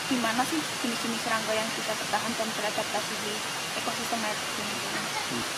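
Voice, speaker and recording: A woman can be heard over loud background noise. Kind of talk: interview answer. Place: forest.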